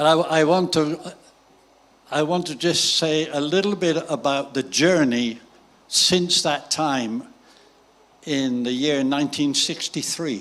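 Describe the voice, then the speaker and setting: With a British accent, a man talks at a fairly slow pace with long, frequent pauses, his fairly high pitch showing ordinary variation. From Great Britain. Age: 80s+. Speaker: visiting preacher. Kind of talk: sermon with interpreter. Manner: short phrases paused for interpretation.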